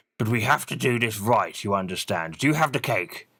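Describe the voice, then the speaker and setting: Over a very clean recording and silent background, a man does a raspy put-on character voice at a fairly quick pace. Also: medium pitch for a man. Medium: read story. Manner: polite, fussy, English.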